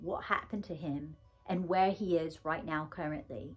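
Faint music can be heard underneath. Over it, a woman talks. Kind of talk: personal monologue. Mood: earnest, grieving, emotional. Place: home room.

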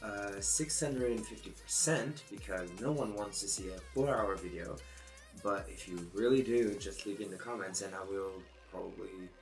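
A man speaks at a fairly low pitch. Faint music plays in the background. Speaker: photo manipulation artist. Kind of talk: tutorial voice-over. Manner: slow; casual. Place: home room.

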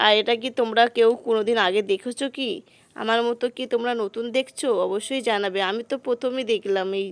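A woman with an ordinary speaking voice, fairly high in pitch and fairly even in intonation, is heard in a very clean recording with a silent background. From West Bengal, Murshidabad. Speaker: vlogger. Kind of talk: casual vlog narration. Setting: outdoors at a village fair.

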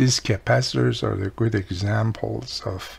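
A man speaks fairly low, with a slightly mellow tone and vocal fry. Faint background noise sits underneath. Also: fairly even intonation, fairly slow pace.

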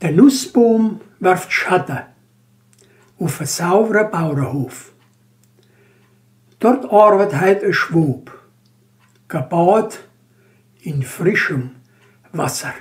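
Speaking very slowly in a Banat Swabian accent, a man uses a high pitch and lively intonation, with long, frequent pauses. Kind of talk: poetry reading.

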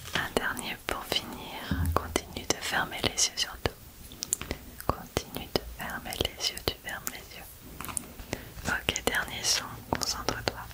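Whispering and soft-spoken, a woman talks at a very slow pace with long, frequent pauses over loud background noise. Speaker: ASMR creator. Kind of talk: soft-spoken ASMR guided relaxation. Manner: soft hushed ASMR whisper. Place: home room. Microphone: studio mic.

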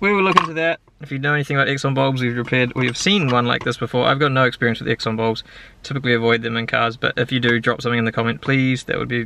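A man talking at a very fast pace, the sound dry with no echo, over noticeable background noise. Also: ordinary pitch variation. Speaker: car DIY vlogger. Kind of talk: casual vlog chat. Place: car. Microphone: phone near.

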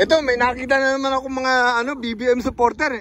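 An animated man with an extremely high pitch talks at a fairly quick pace. The sound is dry with no echo, over light background noise. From Southern Leyte, Philippines; Philippines. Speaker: YouTube vlogger. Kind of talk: casual vlog with street interviews. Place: garden. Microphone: phone near.

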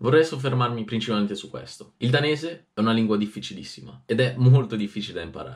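A man races along at a very fast pace, his pitch swinging very widely. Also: quiet background. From Italy. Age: 20s. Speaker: youtuber. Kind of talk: casual vlog reading diary aloud. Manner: animated. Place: home room.

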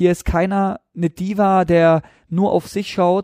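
Dry and close with no echo, a man's high-pitched voice carries a dark, mellow tone. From South Baden, Germany. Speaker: professional footballer. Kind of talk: podcast interview.

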